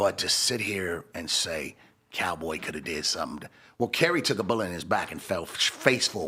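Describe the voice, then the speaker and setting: This man has a very deep, low voice with a bright, sharp tone. He speaks at a moderate pace with lively intonation. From Los Angeles. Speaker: hip-hop entrepreneur. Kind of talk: interview.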